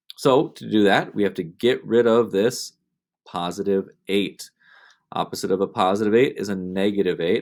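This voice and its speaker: In a plain, everyday voice, a man speaks at a moderate pace and fairly low pitch with ordinary pitch variation. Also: very clean recording, silent background. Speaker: math teacher. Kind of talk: tutorial.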